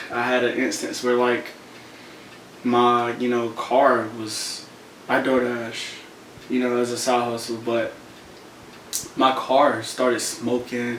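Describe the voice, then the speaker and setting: The speech moves at a fairly slow pace, with audible room echo and noticeable background noise. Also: man. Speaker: motivational content creator. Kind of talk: casual vlog monologue.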